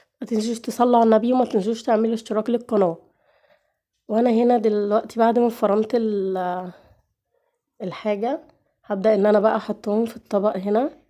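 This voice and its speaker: A woman speaks at a moderate pace in a fairly high pitch with a dark, mellow tone. Her intonation stays fairly even over a quiet background. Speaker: cooking channel host. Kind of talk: cooking tutorial with casual chat. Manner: halting, with pauses.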